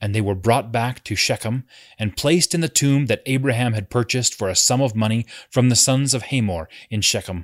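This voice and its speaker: Here is a plain, everyday voice with ordinary pitch variation, moving at a fairly quick pace. The sound is dry and close, with no echo. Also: man, medium pitch for a man. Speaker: read-along narrator. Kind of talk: scripture reading aloud; scripture read-along. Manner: measured, even narrative reading pace; formal, solemn tone.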